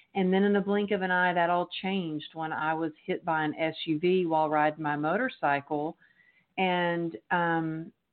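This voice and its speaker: Speaking at a moderate pace with an American accent, a woman keeps a fairly low pitch and fairly even intonation. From Texas. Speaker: author and resilience speaker. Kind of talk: interview.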